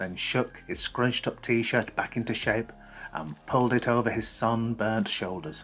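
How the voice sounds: Delivered in a natural reading voice, the words carry ordinary pitch variation.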